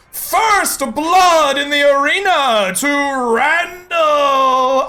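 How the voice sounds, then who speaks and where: Shouting in a put-on character voice, a woman with a high pitch and lively intonation speaks at a very slow pace. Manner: booming, loud.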